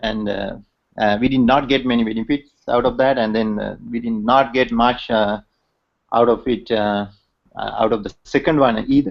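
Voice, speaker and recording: Fairly even intonation marks talking delivered at a moderate pace. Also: man, medium pitch for a man. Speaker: engineer and technical speaker. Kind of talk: online talk with slides. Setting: video call. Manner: hesitant, many fillers; loud. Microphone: bandwidth problems, hard to hear.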